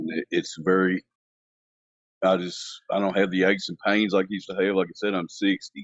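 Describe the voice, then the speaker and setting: Speaking at a fairly quick pace, a man uses a very deep, low pitch with monotone, flat intonation. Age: 60s. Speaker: caller. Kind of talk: casual chat.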